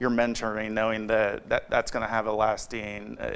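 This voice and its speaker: A man talks at a moderate pace with medium pitch. His intonation is flat and monotone, with vocal fry. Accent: American. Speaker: podcast host and nonprofit founder. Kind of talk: podcast interview host.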